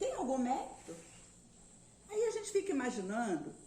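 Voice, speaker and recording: This woman's voice sits high in pitch, and she talks at a fairly slow pace. There is noticeable background noise along with audible room echo. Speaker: spiritist lecturer. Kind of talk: lecture.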